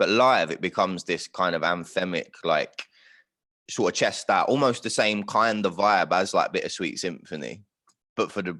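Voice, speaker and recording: A man with a London accent talks at a moderate pace on a very clean recording with a silent background. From London, north London. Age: 20s. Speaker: singer-songwriter. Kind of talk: casual chat.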